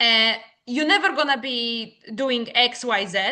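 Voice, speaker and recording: A woman speaks with a Polish accent. Her voice is fairly high, with ordinary pitch variation. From Poland. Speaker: business owner. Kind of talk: podcast interview. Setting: podcast recording.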